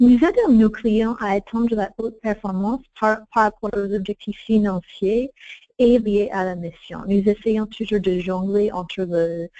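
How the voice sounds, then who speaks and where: A woman with a dark, mellow tone speaks fairly slowly at medium pitch and fairly even intonation, the sound dry and close with no echo. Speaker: strategy consultant, firm founder. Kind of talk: webinar presentation. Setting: online webinar. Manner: halting, many repeated words and restarts; partly reading aloud.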